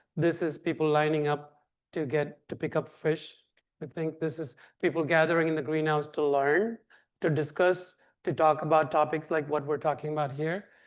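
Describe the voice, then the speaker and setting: Here a man talks in a Tamil accent at a moderate pace. His pitch is fairly high. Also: fairly even intonation. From India (Tamil-speaking south). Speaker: nonprofit director. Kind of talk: Q&A answer; lecture.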